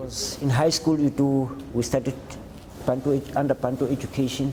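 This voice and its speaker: Noticeable background noise sits under the recording. The man speaking keeps a moderate pace. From South Africa, Cape Town. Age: 60s. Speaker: homeless shelter client. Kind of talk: interview testimony. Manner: halting.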